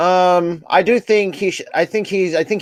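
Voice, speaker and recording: The recording is very clean, with a silent background and a dry, close sound with no echo. A man speaks at a high pitch. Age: 20s. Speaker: sports podcast co-host. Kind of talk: casual chat.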